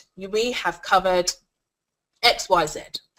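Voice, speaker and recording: A woman does the talking. Her pitch is in the medium range. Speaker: online course creation coach. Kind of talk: tutorial. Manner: loud; animated.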